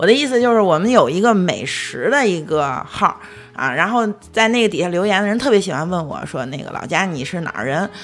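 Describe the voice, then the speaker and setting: Pitch swings very widely as the speaker moves at a fairly quick pace over noticeable background noise. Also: woman, medium pitch for a woman. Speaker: podcast co-host. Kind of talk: casual chat.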